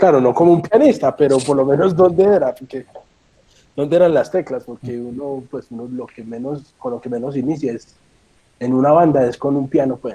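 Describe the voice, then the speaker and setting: The speech moves at a moderate pace with big swings in loudness and ordinary pitch variation. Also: man, fairly high pitch for a man. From Colombia, Medellín. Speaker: horn player and music teacher. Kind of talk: talk. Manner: halting.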